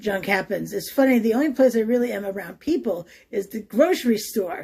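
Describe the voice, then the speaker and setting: Dark and mellow in tone, a woman's voice is fairly high and somewhat breathy. She talks at a fairly quick pace with lively intonation. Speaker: history travel vlogger. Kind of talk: casual vlog talk to camera.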